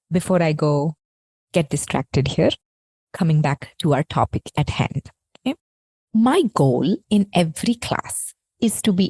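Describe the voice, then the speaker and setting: Dark, mellow and somewhat breathy tone with lively intonation, in a dry, close sound with no echo. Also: woman. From India. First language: not English (Indian language). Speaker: yoga teacher and podcast host. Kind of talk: podcast monologue.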